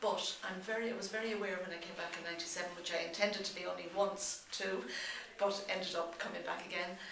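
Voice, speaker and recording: With an Irish accent, a woman talks very fast at a medium pitch and with fairly even intonation, amid audible room echo and noticeable background noise. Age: 60s. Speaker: pilgrim. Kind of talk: interview. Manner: halting.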